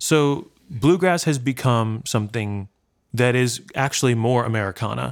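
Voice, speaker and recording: On a very clean recording with a silent background, a man with a normal speaking voice talks at a moderate pace, medium in pitch with ordinary pitch variation. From New York, Brooklyn. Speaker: bluegrass musician. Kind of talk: interview. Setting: at home.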